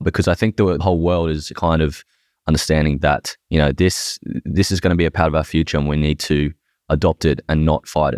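On a very clean recording with a silent background, a man with an Australian accent speaks fairly quickly in a very deep, low pitch with fairly even intonation. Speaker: podcast host. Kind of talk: casual chat.

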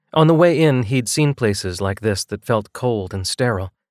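The intonation here is lively. A passage is read aloud in a natural voice.

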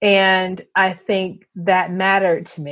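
A woman's voice at a very slow pace. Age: 40s. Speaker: podcast host. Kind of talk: casual chat.

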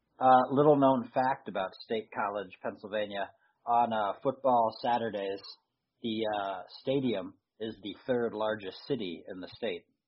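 With an American accent and a plain, everyday voice, a man speaks at medium pitch and a moderate pace, his intonation fairly even but his loudness swinging widely. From Philadelphia, US. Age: 30s. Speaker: sports podcast co-host. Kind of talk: casual chat.

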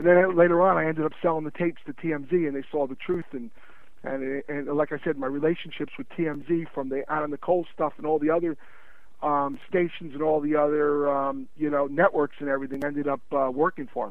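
Here is a man with an unremarkable speaking voice and a fairly high pitch. He talks at a fairly quick pace with fairly even intonation. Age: 40s. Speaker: sports memorabilia dealer and author. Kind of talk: interview.

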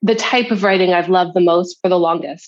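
A woman's voice at a medium pitch. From Canada. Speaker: podcast guest, writer and editor.

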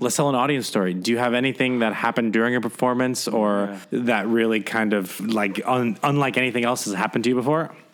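A man talks at a very fast pace in a medium pitch, with fairly even intonation and very even loudness. Noticeable background noise runs underneath. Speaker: podcast host. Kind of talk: casual chat. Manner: jokey, bantering.

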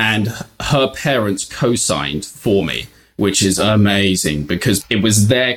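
With lively intonation, a man speaks at a moderate pace in a fairly low pitch. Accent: British. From UK. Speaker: travel points website founder. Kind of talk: casual chat.

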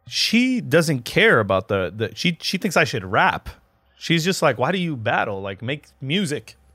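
A man's bright, sharp tone with very wide pitch swings and vocal fry, at a fairly slow pace, in a very clean recording with a silent background. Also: fairly high pitch for a man. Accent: American. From Lebanon, after early childhood in US. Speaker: battle rapper. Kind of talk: casual chat. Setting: studio.

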